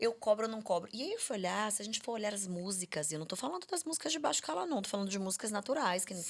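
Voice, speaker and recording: A woman talks at a very fast pace with lively intonation. Her pitch is medium. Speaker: speech therapist. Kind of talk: podcast conversation.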